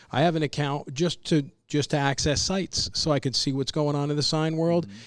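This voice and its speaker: This is a man with an ordinary speaking voice, fairly high in pitch, with ordinary pitch variation. He talks at a fairly quick pace on a very clean recording with a silent background. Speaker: podcast host. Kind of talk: podcast conversation.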